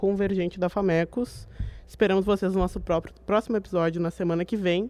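A woman talks at a very fast pace. Her tone is dark and mellow, her intonation monotone and flat. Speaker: student journalist, interviewer. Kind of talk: radio interview hosting.

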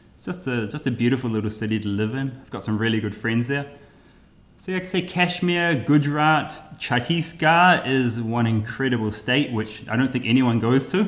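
A man's normal speaking voice at medium pitch, moderate pace and lively intonation, with big swings in loudness. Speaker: travel YouTuber. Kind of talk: casual interview conversation.

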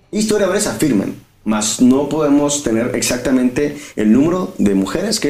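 A man's medium-pitched voice with lively intonation at a moderate pace, amid audible room echo and noticeable background noise. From Mexico, Guadalajara (Jalisco). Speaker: podcast co-host. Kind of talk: casual comedic chat.

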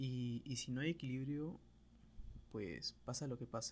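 With ordinary pitch movement, a man's medium-pitched voice sounds somewhat breathy. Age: 20s. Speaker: podcaster, architect and photographer. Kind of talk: solo monologue podcast. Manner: halting, with frequent repetitions.

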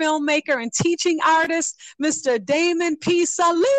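A woman speaks at a high pitch and moderate pace in a warm, upbeat tone with ordinary pitch variation. The sound is dry and close, with no echo. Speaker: radio host. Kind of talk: radio host patter, show intro and interview. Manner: warm, upbeat, animated.

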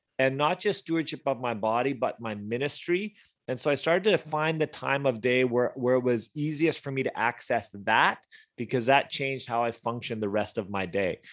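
Over a quiet background, a man speaks in a normal speaking voice. He keeps a moderate pace and lively intonation. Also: medium pitch for a man. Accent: Canadian. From British Columbia, Canada. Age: 40s. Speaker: youth ministry leader. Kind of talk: casual interview chat.

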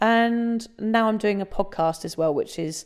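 A woman with an English accent speaks in a dark, mellow tone with ordinary pitch variation. The recording is very clean, with a silent background. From England. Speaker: sobriety blogger and author. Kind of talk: casual interview about personal story.

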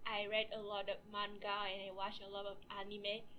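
Noticeable background noise sits behind a woman who speaks fairly slowly. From Vietnam. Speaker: student podcast co-host. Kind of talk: casual chat.

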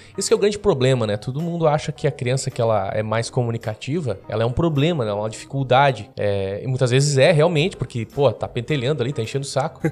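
Barely pausing, a man with a medium pitch speaks at a very fast pace with lively intonation. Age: 20s. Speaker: newspaper editor and journalist. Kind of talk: casual interview chat and storytelling.

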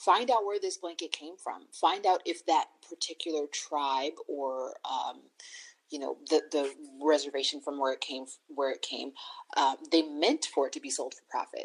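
A woman at a moderate pace, with big swings in loudness. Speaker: doula. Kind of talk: interview.

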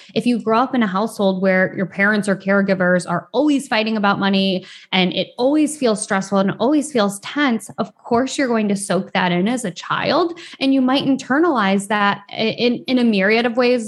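A woman speaks at a moderate pace with lively intonation. Her voice is somewhat breathy, and her loudness stays very even. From US Midwest, rural Michigan. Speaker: financial therapist. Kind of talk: interview.

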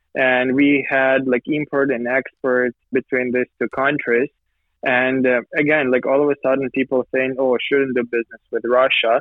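At a moderate pace, a man speaks at a medium pitch with very even loudness. His intonation is monotone and flat. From Ukraine, Poltava. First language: Ukrainian or Russian. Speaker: business association leader. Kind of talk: interview. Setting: remote call.

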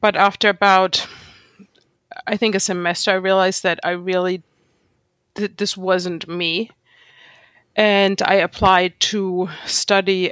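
A woman with a German accent at medium pitch, monotone and flat in intonation, at a moderate pace, in a dry, close sound with no echo on a very clean recording with a silent background. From Germany. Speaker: street photographer. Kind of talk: casual interview conversation.

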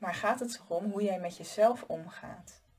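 A woman's somewhat breathy voice at a medium pitch, with ordinary pitch variation and a fairly slow pace. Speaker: life coach and podcast host. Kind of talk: solo advice monologue. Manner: casual, conversational with filler words.

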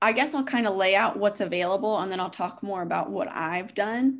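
A woman with a Midwestern American accent speaks at a medium pitch with lively intonation against a quiet background. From US Midwest, Indiana. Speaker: neuroscience graduate student. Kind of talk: casual chat.

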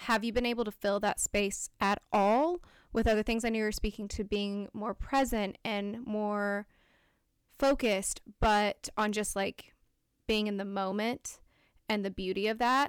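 The recording is very clean, with a silent background. A woman speaks at a fairly slow pace with fairly even intonation. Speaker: podcast co-host. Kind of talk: casual interview conversation. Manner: frequent filler ums; quiet when moved.

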